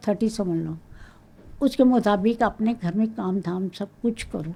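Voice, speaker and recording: Somewhat breathy, fairly high-pitched female speech, dark and mellow in tone. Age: 80s+. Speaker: senior model. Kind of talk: interview answer.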